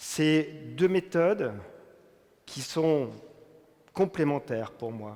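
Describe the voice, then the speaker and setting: A man's fairly high voice with lively intonation. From France. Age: 60s. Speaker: business executive. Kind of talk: testimony talk.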